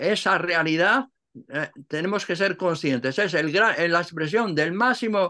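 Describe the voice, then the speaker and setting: Over a quiet background, a man with a high pitch and a bright, sharp tone speaks at a moderate pace with lively intonation. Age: 80s+. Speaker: Cistercian monk and translator; interviewee. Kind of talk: interview. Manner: halting. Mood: calm, reflective, spiritual. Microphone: video call.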